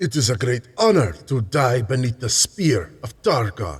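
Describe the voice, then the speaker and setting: A man's put-on character voice at a medium pitch and moderate pace, with very wide pitch swings. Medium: read story. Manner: grim, terse.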